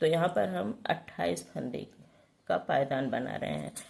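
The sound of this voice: A woman's low, slightly mellow voice with vocal fry and a slightly husky edge, ordinary pitch variation, and a fairly slow pace.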